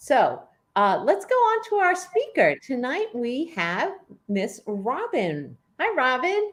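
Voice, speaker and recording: Speaking very slowly, a woman uses a high pitch with very wide pitch swings. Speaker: club president hosting meeting. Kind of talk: meeting introduction. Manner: halting, many fillers.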